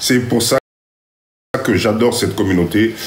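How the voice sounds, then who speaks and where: A medium-pitched man's voice with audible room echo. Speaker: live stream host, community mentor. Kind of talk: live stream address to viewers. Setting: live stream on TikTok. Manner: animated.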